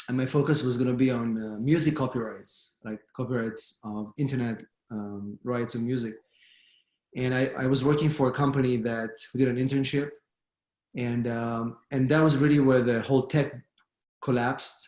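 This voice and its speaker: The speaker has an Israeli accent. The intonation stays fairly even. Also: man, medium pitch for a man, moderate pace. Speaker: immigration lawyer. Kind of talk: panel discussion.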